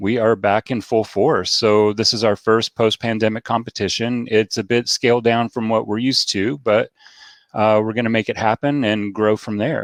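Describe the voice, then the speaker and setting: A man talks at a medium pitch and a moderate pace, with monotone, flat intonation. The sound is dry and close, with no echo. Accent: Southern US. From US South, Nashville. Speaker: beard club organizer. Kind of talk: casual chat. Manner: hesitant, many fillers.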